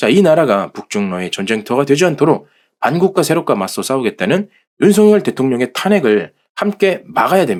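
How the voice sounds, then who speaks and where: On a very clean recording with a silent background, a man speaks at a moderate pace with a fairly high pitch. His voice shows vocal fry and very wide pitch swings. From South Korea, Jeolla province. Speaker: political commentary channel host. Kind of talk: reading aloud.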